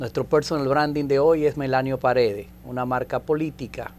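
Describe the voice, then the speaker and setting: With light background noise behind him, a man talks at a moderate pace in a normal speaking voice, his medium pitch following fairly even intonation. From Dominican Republic. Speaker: TV host. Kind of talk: TV interview. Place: studio. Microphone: lapel.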